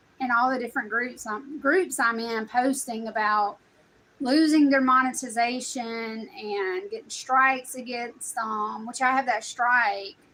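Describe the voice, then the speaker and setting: A woman with a high pitch talks at a fairly slow pace in a strong Southern US accent. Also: ordinary pitch variation. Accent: strong Southern country. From US South, South Carolina. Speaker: content creator. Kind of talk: casual vlog chat.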